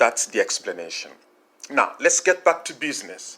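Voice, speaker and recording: A man speaks with a Congolese accent. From DR Congo. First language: French. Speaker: marketing consultant. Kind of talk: tutorial. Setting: recorded audio call.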